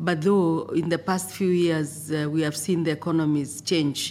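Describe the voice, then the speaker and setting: A woman with a Kenyan accent speaks at a very deep, low pitch with fairly even intonation in a very clean recording with a silent background. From Kenya, Maasai. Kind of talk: interview.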